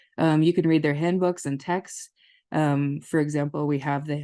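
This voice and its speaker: Against a quiet background, a woman with an American accent speaks at a moderate pace in a very deep, low pitch, her dark, mellow tone held in a monotone, flat intonation. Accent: Minnesota long O's with some Southern y'all. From northern Minnesota. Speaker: family therapist. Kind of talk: webinar lecture. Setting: webinar.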